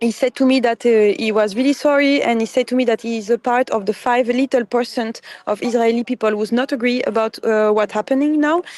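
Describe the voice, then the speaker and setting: In a French accent, a woman talks at a moderate pace with a fairly high pitch and ordinary pitch variation. The sound is dry and close with no echo. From France. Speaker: flotilla activist, detainee. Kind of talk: interview testimony. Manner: halting.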